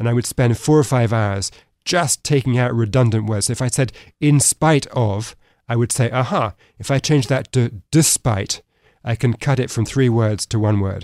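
A man with a British accent speaks at a moderate pace and a medium pitch with ordinary pitch variation, on a very clean recording with a silent background and a dry, close sound with no echo. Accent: British, little American left. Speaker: author and economics fellow. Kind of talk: interview.

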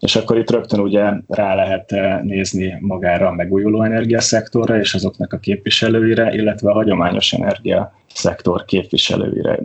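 Over noticeable background noise, a man speaks at a fairly low pitch and a fairly quick pace, with hardly any pauses. His intonation is monotone and flat, and his loudness stays very even. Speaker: portfolio manager, water polo player. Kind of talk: casual chat.

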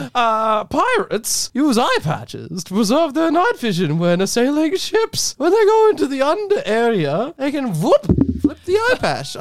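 A put-on character voice is delivered at a high pitch. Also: moderate pace.

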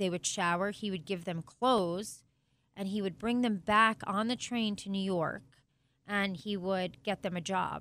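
Delivered at a moderate pace with fairly even intonation, an unremarkable speaking voice sounds out over a very clean recording with a silent background. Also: woman. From Italian-American family. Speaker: sports team co-owner. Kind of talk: interview.

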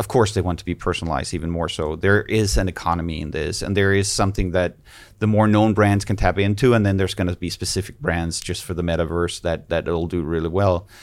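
A man's very deep, low voice at a very fast pace, with fairly even intonation and hardly any pauses. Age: 40s. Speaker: fashion business owner and lecturer. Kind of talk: casual chat.

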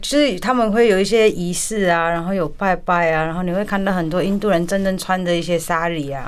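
A woman at a fairly quick pace, with ordinary pitch variation and audible room echo. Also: medium pitch for a woman. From India, Kolkata Chinese community. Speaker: restaurant owner. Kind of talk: radio interview.

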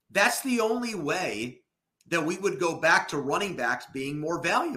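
A high-pitched male voice, bright and sharp in tone, with very wide pitch swings. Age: 30s. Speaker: sports podcast co-host. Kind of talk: casual chat.

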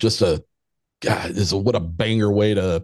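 With an ordinary speaking voice, a man talks at a moderate pace in a fairly low pitch over a quiet background. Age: 50s. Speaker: paranormal podcaster. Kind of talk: casual interview chat.

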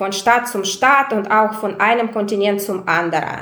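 A woman with a Russian accent speaks at a fairly slow pace, her pitch fairly high with ordinary variation. Noticeable background noise and audible room echo are present. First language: Russian (speaking German). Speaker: migration researcher. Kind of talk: interview. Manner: hesitant, many fillers.

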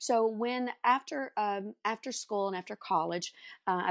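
In a Texan accent, a woman speaks at a moderate pace with ordinary pitch variation, the sound dry and close with no echo against a quiet background. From North Texas, Dallas area. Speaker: furniture artist and business coach. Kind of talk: interview.

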